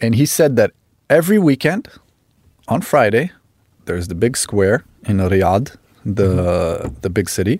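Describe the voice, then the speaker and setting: A man with an Italian accent and a medium pitch speaks at a moderate pace with very wide pitch swings and long, frequent pauses, on a very clean recording with a silent background and a dry, close sound with no echo. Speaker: actor and model. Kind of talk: casual interview chat. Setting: studio.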